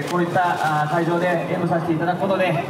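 Crowd noise fills the background as a man talks at a fairly quick pace. Room echo is audible. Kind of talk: formal public greeting speech. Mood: polite, formal. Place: street.

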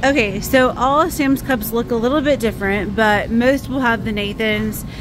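A woman speaks at a fairly slow pace in a dry recording with no echo, over noticeable background noise. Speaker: shopping vlogger. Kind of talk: casual vlog chat. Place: shop. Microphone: phone near.

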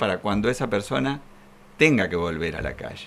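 The man speaks at a fairly quick pace. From Argentina. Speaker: legal expert; guest. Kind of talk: studio interview. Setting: studio. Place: studio. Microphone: podium.

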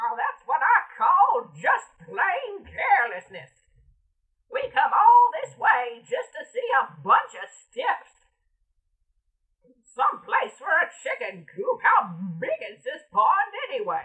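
An extremely high-pitched, put-on character voice from a woman. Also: fairly slow pace. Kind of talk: voice-over audition read. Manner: sassy, complaining.

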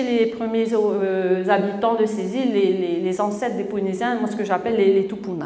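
A woman's fairly high voice, with ordinary pitch variation, carries audible room echo. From French Polynesia (Tahiti); French Polynesia. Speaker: author; conference speaker. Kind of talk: lecture. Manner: halting, many repetitions. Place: hall.

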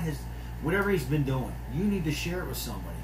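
Noticeable background noise sits behind a man with a very deep, low voice. He talks very fast in a flat monotone. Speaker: pastor. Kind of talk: sermon. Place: office. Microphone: phone near.

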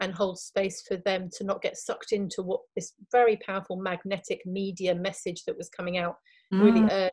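In a quiet background, a woman's somewhat breathy voice moves at a moderate pace. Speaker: remote podcast guest. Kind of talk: interview answer. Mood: earnest, reflective. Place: home room.

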